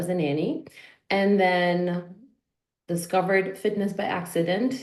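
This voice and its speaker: A woman speaks at medium pitch and a fairly slow pace with a Polish accent. Audible room echo surrounds her voice. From Poland. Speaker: fitness and life coach. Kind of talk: podcast interview.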